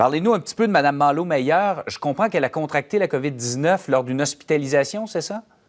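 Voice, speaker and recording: With a normal speaking voice, a man talks at a fairly high pitch and a fairly quick pace, with lively intonation and hardly any pauses, on a very clean recording with a silent background. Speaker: news anchor. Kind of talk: news interview.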